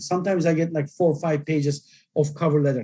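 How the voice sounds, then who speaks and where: A man talks at a fairly quick pace in a non-native accent. His tone is dark and mellow. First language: not English. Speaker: journal editor giving webinar talk. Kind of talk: lecture. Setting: online webinar.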